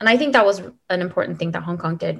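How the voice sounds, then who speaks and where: With a Californian accent, a woman speaks in a fairly low voice with ordinary pitch variation. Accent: Californian American English. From US West Coast, Los Angeles. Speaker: expat mother, former refugee agency worker. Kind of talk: interview, casual conversation. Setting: remote call.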